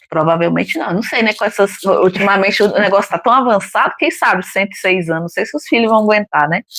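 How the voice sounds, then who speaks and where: A woman talks at a very fast pace, hardly pausing. Her pitch is medium and her intonation is lively. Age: 50s. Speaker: retired co-host. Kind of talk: casual book discussion live stream.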